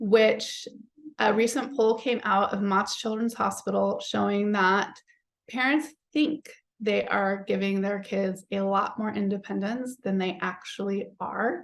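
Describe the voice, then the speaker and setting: A woman with a plain, everyday voice speaks at a fairly slow pace, using a medium pitch and ordinary pitch variation. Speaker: psychologist and parenting author. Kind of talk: webinar presentation.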